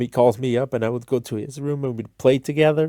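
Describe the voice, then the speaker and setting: A man with a non-native accent and a dark, mellow tone speaks at a fairly quick pace. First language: not English. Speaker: streamer / content creator. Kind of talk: casual storytelling monologue. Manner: halting, many fillers and restarts.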